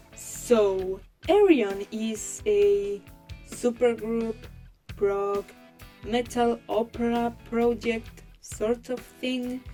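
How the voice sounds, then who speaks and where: A woman's fairly high voice in a Spanish accent, very slow and fairly even in intonation, with long, frequent pauses and music in the background. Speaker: digital artist. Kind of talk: casual talk to camera. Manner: rambling, casual.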